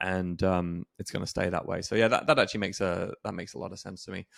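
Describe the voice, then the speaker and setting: A man talking at a very fast pace, with big swings in loudness, in a very clean recording with a silent background. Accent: English. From England. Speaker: podcast host. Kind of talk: interview.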